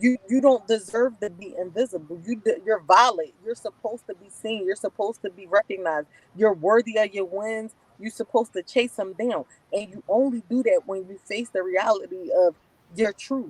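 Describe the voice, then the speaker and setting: A woman with an American accent and a normal speaking voice talks at a moderate pace in a fairly high pitch with ordinary pitch variation. Her loudness swings widely, in a dry, close sound with no echo. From US Northeast, North Philadelphia. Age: 30s. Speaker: formerly incarcerated guest. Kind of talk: interview answer.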